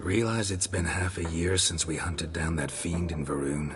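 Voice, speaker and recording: Over loud background noise, a man does a cartoonish character voice with a very deep, low pitch at a moderate pace. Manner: terse, gruff.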